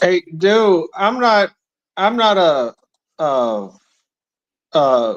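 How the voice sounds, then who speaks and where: Using a Northern US accent, a man with a high pitch and very wide pitch swings speaks at a very slow pace with long, frequent pauses, in a dry, close sound with no echo. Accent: Northern US, self-described Yankee. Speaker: debate channel host. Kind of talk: casual chat.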